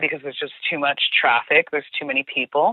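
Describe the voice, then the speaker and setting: A woman with a New Jersey accent speaks in an animated tone at a moderate pace. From US Northeast, New Jersey. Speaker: former tour guide. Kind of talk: casual interview chat.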